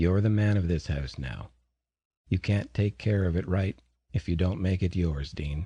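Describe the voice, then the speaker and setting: A man puts on a booming character voice with a very deep, low pitch. He talks at a moderate pace. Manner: commanding.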